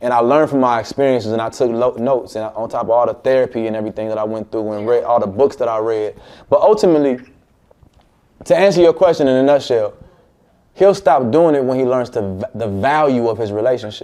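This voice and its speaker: The delivery comes at a very fast pace with ordinary pitch variation. Its tone is dark and mellow. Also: man, medium pitch for a man. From Chicago, US. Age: 30s. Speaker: relationship advice livestreamer. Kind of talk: live stream advice call.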